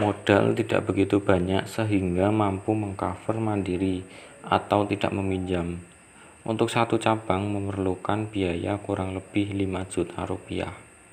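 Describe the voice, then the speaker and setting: A man talks at a fairly slow pace in a fairly low pitch. His intonation is monotone and flat. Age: 20s. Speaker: small business owner. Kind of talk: interview. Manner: formal.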